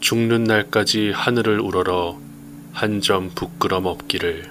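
Noticeable background noise sits behind a man with a fairly low voice. He talks very slowly, his intonation lively. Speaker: reader / narrator. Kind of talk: poetry reading.

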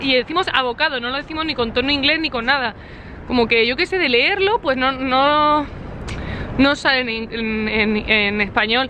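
Over light background noise, a woman speaks at a moderate pace with a high pitch and ordinary pitch variation, the sound dry with no echo. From Spain. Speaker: vlogger. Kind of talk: casual vlog narration. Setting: walking around the city, outdoors and in a restaurant. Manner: animated.

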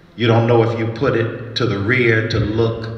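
Male speech with noticeable echo from the room. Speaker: pastor giving an address. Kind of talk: sermon. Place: stage. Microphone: handheld.

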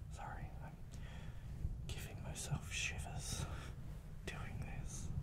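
A man talking at a very slow pace over loud background noise. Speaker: ASMR content creator. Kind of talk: soft-spoken ASMR chat to camera. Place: home room. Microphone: studio mic.

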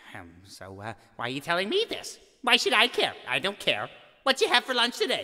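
A man speaks in a shrill, put-on character voice at a moderate pace. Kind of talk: musical theatre comic acting. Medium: solo performance. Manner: defensive, prissy, increasingly shrill.

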